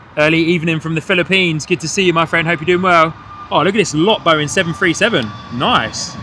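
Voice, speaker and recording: Noticeable background noise sits behind a man talking at a very fast pace. His voice is high, with ordinary pitch variation. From England, Hertfordshire. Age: 30s. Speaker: plane spotting livestream host. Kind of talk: live commentary. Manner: animated.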